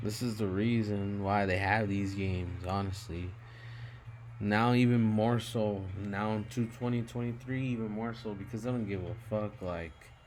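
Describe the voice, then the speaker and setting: Amid audible room echo, a man speaks at a fairly low pitch with fairly even intonation. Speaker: gematria video commentator. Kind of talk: casual monologue over screen recording. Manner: slow; halting with many fillers.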